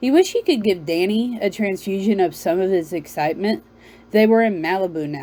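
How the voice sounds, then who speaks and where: The voice has a Southern US accent and a dark, mellow tone. It moves at a fairly quick pace with ordinary pitch variation. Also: woman, medium pitch for a woman. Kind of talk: read-aloud novel. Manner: halting, self-correcting.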